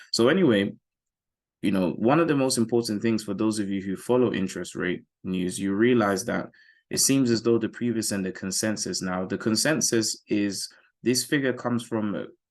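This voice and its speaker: A man with a British accent, medium in pitch, at a moderate pace with ordinary pitch variation, over a quiet background. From UK. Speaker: forex trading educator. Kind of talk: market analysis tutorial. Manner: casual, conversational.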